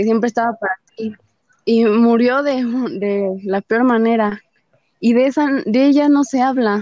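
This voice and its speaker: A woman with a fairly high pitch speaks at a fairly slow pace, leaving long, frequent pauses. Her intonation is fairly even, and the sound is dry and close with no echo. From Mexico, Nezahualcóyotl (State of Mexico). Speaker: feminist activist. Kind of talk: interview conversation.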